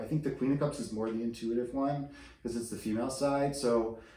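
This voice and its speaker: Moderate pace, with audible room echo and noticeable background noise. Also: man. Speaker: tarot reader. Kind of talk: tarot reading. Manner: whispering; hesitant, many fillers.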